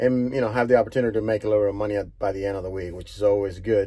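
Somewhat breathy, this man's fairly low voice carries a dark, mellow tone. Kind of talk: casual vlog chat. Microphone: phone near.

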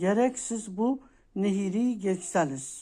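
In a very clean recording with a silent background, a woman speaks in a warm, medium-pitched tone with ordinary pitch variation. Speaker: coffee fortune teller YouTuber. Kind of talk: fortune telling monologue. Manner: warm, casual.

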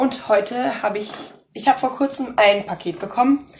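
High-pitched speech from a woman, with ordinary pitch variation. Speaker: cosplay youtuber. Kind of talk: product review. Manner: hesitant, many fillers.

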